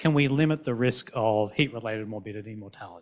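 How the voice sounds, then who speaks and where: A man with an Australian accent talks at a fairly quick pace on a very clean recording with a silent background. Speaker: physician and researcher. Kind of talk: panel discussion.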